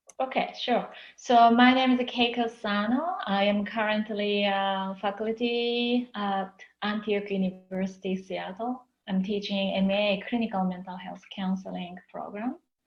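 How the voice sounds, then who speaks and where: At a fairly slow pace, a woman speaks at medium pitch with fairly even intonation. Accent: Japanese. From Japan. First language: Japanese. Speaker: counseling professor. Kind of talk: interview. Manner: hesitant, with fillers.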